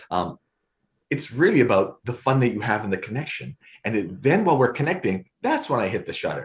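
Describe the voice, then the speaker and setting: At a fairly quick pace, a man talks in a somewhat breathy, medium-pitched voice with very wide pitch swings. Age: 60s. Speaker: photographer and storyteller. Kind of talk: casual chat. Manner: halting, with many repetitions.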